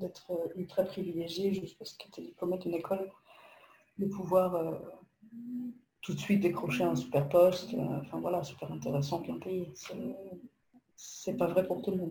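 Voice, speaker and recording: A woman's fairly low-pitched voice at a moderate pace, with ordinary pitch variation, long, frequent pauses, and big swings in loudness. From Poland. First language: Polish (speaking French). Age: 30s. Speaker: copywriter. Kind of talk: casual interview.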